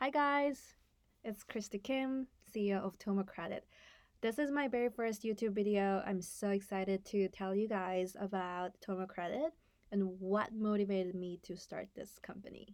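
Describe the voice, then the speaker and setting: In a very clean recording with a silent background, a woman with a Korean accent talks at a moderate pace, medium pitch and ordinary pitch variation. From South Korea, Seoul; US from age eleven. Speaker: startup founder and CEO. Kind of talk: personal story to camera. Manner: hesitant, many fillers and self-corrections.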